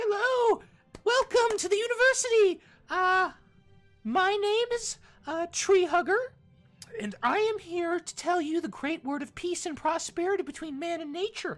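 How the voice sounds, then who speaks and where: Delivery is at a moderate pace with lively intonation and big swings in loudness, while faint music plays in the background. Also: woman, extremely high pitch for a woman. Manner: cheerful, bubbly.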